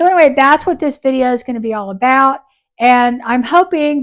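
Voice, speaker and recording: With little sound behind her, a woman is talking. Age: 60s. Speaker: YouTuber and upcycling booth seller. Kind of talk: casual vlog talk to camera. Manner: conversational with many fillers.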